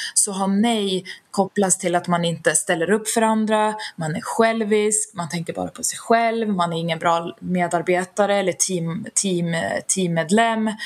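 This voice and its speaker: An unremarkable speaking voice belongs to a woman at medium pitch. She talks at a moderate pace with fairly even intonation. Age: 30s. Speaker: HR specialist and founder of a stress-prevention organization. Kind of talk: interview.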